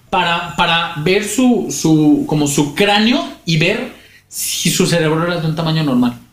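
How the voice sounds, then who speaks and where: Lively intonation from a man at high pitch, a fairly slow pace, and audible room echo. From Mexico, Guadalajara (Jalisco). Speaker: podcast co-host. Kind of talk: storytelling narration; casual comedic chat.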